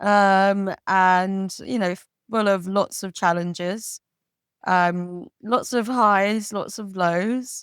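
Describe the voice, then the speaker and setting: A woman with a slight West Country accent and medium pitch speaks very slowly with fairly even intonation, on a very clean recording with a silent background. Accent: English accent, slight West Country twang. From London, England. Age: 30s. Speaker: podcast guest. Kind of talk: casual chat. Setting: pub.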